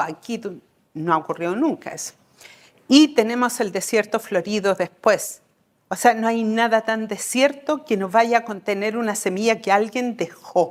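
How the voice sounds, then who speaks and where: Here a woman talks in a normal speaking voice at a fairly high pitch. Her pace is moderate, with ordinary pitch variation. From Chile. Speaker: Mapuche medicine woman and midwife. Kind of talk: talk to an audience.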